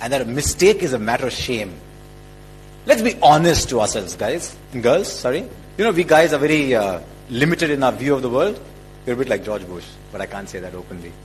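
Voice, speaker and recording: Fairly quick speech with very wide pitch swings and big swings in loudness, music playing in the background. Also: man, medium pitch for a man. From India. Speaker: cricket commentator. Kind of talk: motivational speech.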